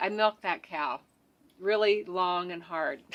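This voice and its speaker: A woman with an American accent has a bright, sharp tone and lively intonation. She speaks at a fairly slow pace on a very clean recording with a silent background. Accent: suppressed Southern. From West Virginia and rural Pennsylvania. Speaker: EFT practitioner and web designer. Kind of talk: casual interview chat.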